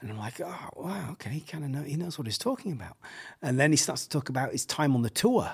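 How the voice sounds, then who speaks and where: A man with an English accent speaks at a very fast pace with lively intonation, a fairly high pitch and a somewhat breathy sound, in a very clean recording with a silent background. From England. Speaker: pastor and surf-church director. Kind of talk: casual interview chat.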